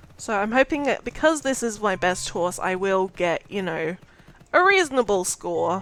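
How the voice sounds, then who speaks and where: Woman at medium pitch with music in the background. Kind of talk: casual gaming tutorial voice-over. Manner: hesitant, many filler words.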